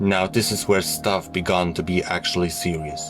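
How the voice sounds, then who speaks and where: Over music in the background, a man with a very deep, low pitch talks with fairly even intonation. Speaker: story narrator. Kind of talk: horror story reading. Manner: natural speaking voice.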